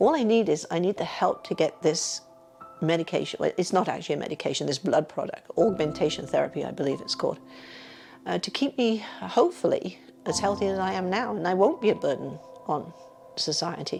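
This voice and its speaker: A woman with an English accent at a fairly quick pace, over noticeable background noise. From England. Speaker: retired physiotherapist and patient. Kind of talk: personal testimony interview. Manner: halting, with stammers and self-corrections.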